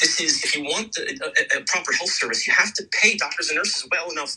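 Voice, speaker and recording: A man at a very fast pace, music in the background. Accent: American. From United States. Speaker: emergency doctor. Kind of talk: radio interview. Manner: animated.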